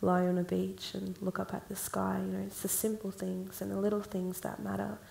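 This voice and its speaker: Moderate-paced speech from a woman, with noticeable background noise throughout. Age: 20s. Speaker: songwriter. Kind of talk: panel discussion.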